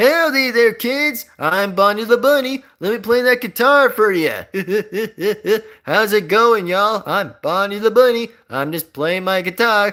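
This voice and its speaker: On a very clean recording with a silent background, a man does a put-on character voice, high-pitched for a man, at a moderate pace. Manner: goofy, cheery.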